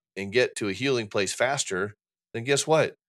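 American-accented male speech with ordinary pitch variation, very clean recording and a silent background. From Indiana, US Midwest. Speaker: interventionist and author. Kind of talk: podcast interview.

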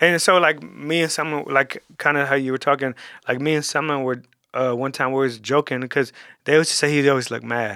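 A man with a fairly high pitch speaks at a fairly quick pace. His tone is bright and sharp, in a very clean recording with a silent background. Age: 30s. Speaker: barber and business owner. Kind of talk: casual interview. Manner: animated, energetic; fast, with many repetitions.

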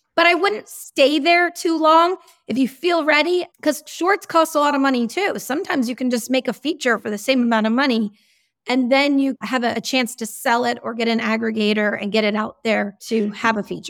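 With an American accent, a woman talks fairly quickly in a high voice with lively intonation, on a very clean recording with a silent background. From Massachusetts. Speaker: independent film producer. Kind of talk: interview.

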